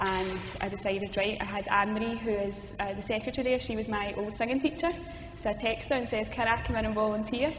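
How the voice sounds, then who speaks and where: A woman with a strong Glasgow accent talks very fast at a fairly high pitch with ordinary pitch variation. Music plays in the background, and audible room echo surrounds her. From Scotland, Glasgow. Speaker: youth ministry coordinator. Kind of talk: interview conversation. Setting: cathedral hall.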